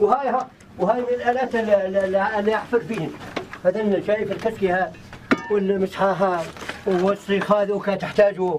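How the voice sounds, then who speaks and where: Against noticeable background noise, a man talks in a high voice with fairly even intonation. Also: fairly quick pace. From Syria, southern Aleppo countryside. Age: 60s. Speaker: villager who dug an underground home. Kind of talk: interview. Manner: halting.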